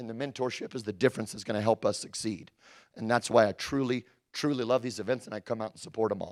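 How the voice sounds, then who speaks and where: A man uses a put-on character voice at a medium pitch, hoarse and raspy. He talks at a very fast pace. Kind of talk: speaker at an event.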